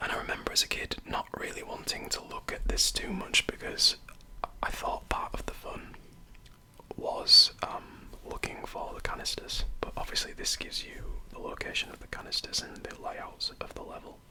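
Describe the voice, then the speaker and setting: Whispering in a Yorkshire accent, the voice has a relaxed tone. Noticeable background noise runs underneath. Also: moderate pace. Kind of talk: ASMR show-and-tell of a video game guide. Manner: whispered; soft-spoken, relaxed.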